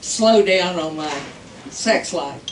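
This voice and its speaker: With very wide pitch swings, a woman speaks over noticeable background noise, her voice carrying audible room echo. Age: 80s+. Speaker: stand-up comedian. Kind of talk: stand-up. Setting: stage with audience.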